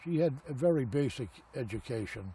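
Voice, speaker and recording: A man's medium-pitched voice has a dark, mellow tone, is somewhat breathy, and shows ordinary pitch variation. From Boston, Massachusetts. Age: 70s. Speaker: elderly man recounting his life. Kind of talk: oral history interview. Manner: halting, with many fillers.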